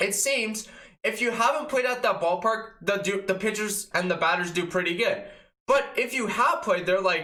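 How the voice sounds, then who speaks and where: In a raised, projected voice, a man with a high pitch and very wide pitch swings talks at a moderate pace amid audible room echo. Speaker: sports fan youtuber. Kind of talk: casual sports recap. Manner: enthusiastic; casual, filler-heavy.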